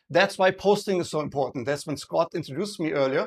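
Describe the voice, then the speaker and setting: A man speaks with a German accent and ordinary pitch variation. The background is quiet. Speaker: presenter giving a talk on sales and marketing. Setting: live event, introduced by a host. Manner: conversational, checks in with audience, uses fillers.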